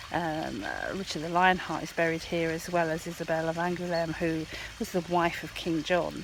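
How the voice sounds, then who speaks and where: A soft-spoken voice moves at a moderate pace over noticeable background noise. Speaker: travel vlogger. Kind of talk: casual vlog talk to camera. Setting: outdoors in abbey gardens. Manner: soft-spoken, talking quietly.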